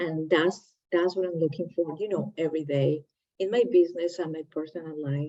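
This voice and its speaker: Fairly low-pitched female voice with a non-native accent, fairly even intonation and a moderate pace. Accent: foreign. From Latin America. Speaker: entrepreneur, channel host. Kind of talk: casual chat.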